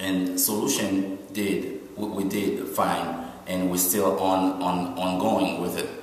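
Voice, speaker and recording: A man speaks at a fairly low pitch. Noticeable background noise and audible room echo are present. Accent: Haitian. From Haiti. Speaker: environmental nonprofit founder, keynote speaker. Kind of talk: keynote speech. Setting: conference symposium. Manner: halting, many fillers.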